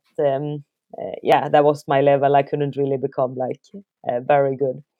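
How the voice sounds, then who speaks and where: The speaker is a woman with a Swedish accent. Her pitch is very deep and low for a woman. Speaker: elite trail runner and company co-founder. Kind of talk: casual interview.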